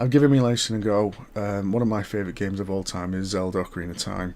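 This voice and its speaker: A soft-spoken man talks at a fairly low pitch. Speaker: gaming vlogger. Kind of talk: casual monologue. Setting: home at night. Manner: hesitant.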